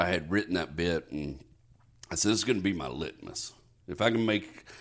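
A man with an American accent talks at a fairly quick pace in a very deep, low voice with vocal fry. The recording is very clean, with a silent background. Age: 40s. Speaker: stand-up comedian. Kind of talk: casual chat.

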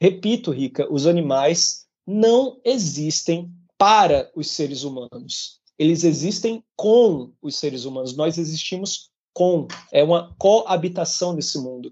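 This man talks at a very slow pace in a high voice, with lively intonation and big swings in loudness. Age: 30s. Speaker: podcast co-host, vegan activist. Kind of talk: casual chat. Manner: animated.

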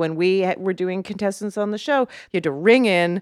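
A woman speaks at a medium pitch in an animated tone, with ordinary pitch variation. The recording is very clean, with a silent background and a dry, close sound with no echo. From Canada. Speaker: comedian and trivia show host. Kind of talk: casual chat.

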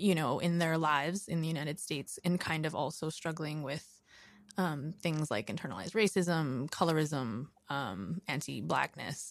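A woman with an American accent speaks at a moderate pace in a very deep, low voice with vocal fry. Her pitch varies in an ordinary way, on a very clean recording with a silent background. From Queens, New York. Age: 30s. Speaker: documentary filmmaker. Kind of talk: casual interview.

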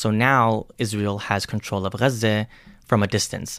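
A plain, everyday voice with an American accent at a fairly quick pace. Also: man. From United States. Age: 30s. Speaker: podcast host. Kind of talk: explainer monologue.

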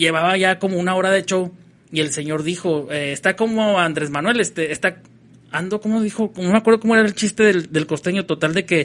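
Talking at a fairly quick pace, this man has a high pitch and ordinary pitch variation. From northern Mexico, Ciudad Juárez. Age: 30s. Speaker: comedian. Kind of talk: casual chat.

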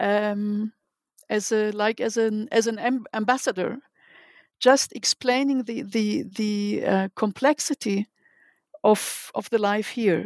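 A woman with a German accent speaks very slowly in a fairly high pitch with fairly even intonation, on a very clean recording with a silent background. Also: dry, close sound with no echo. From Germany. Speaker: literary translator. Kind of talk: interview. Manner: halting.

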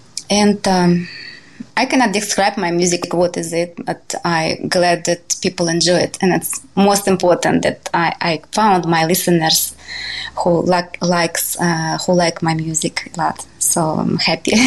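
A woman with a Russian accent, fairly slow and monotone in flat intonation, over noticeable background noise. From Siberia, Russia. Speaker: jazz pianist and composer. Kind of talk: interview. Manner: halting.

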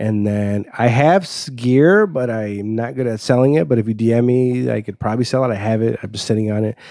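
A man with a Chicago accent talks at a fairly quick pace, his medium pitch varying in an ordinary way within a dark, mellow tone. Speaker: podcast guest, comedian; podcast host. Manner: fast talker.

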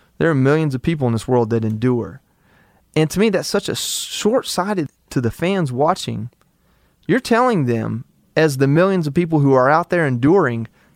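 A man talks at a moderate pace in an unremarkable speaking voice, fairly high in pitch. His intonation is lively, and the recording is very clean with a silent background. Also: dry, close sound with no echo. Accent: American. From US South, Georgia. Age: 30s. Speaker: war veteran. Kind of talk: casual chat.

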